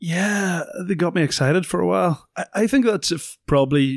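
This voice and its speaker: Speaking at a fairly quick pace, a man with a Northern Irish accent is heard on a very clean recording with a silent background. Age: 30s. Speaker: retired rugby player, pundit. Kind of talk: casual chat. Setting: studio.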